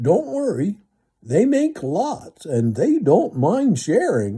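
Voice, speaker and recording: Very slowly, a man performs a put-on character voice, high-pitched with very wide pitch swings. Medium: read story. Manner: friendly, easygoing.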